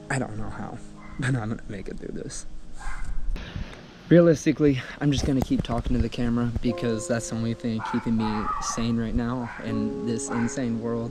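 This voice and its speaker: Noticeable background noise sits behind a man's voice. He speaks at a moderate pace and medium pitch with ordinary pitch variation. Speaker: parkour athlete and vlogger. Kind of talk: personal video diary. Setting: outdoors, then indoors. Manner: halting.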